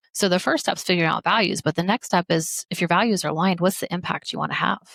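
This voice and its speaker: With an American accent, a woman speaks at a fairly low pitch with vocal fry and ordinary pitch variation, the sound dry and close with no echo. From Missouri. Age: 30s. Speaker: medical doctor and life coach. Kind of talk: podcast interview.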